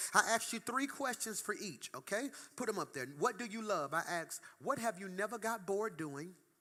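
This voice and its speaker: A man with a high pitch uses a raised, projected voice, bright and sharp and animated in tone, with lively intonation at a fairly quick pace. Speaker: pastor. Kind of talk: sermon. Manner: fast.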